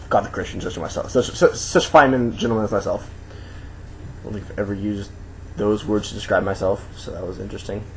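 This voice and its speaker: A man's very fast speech, fairly low in pitch, with ordinary pitch variation. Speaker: video blogger. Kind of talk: casual vlog monologue.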